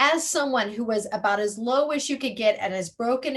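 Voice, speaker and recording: Ordinary pitch variation from a woman talking at a fairly quick pace. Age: 60s. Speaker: podcast host. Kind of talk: casual chat.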